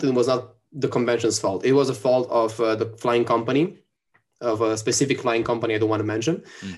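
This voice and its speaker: A man speaks with an Italian accent. His pitch is medium. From Italy. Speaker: cosplayer and wrestler. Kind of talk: casual chat. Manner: animated.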